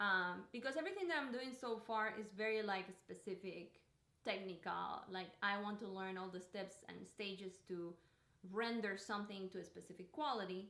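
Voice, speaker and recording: A woman's bright, sharp voice at a medium pitch and moderate pace, with ordinary pitch variation and audible room echo. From Cuba. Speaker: artist. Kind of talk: casual livestream monologue. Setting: home art studio livestream. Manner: halting, with many fillers and repetitions.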